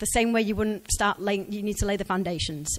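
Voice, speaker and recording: A woman talks at a very fast pace in an English accent. Her pitch sits in the medium range. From England. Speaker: career speaker, ex-recruiter. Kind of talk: conference talk. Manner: conversational.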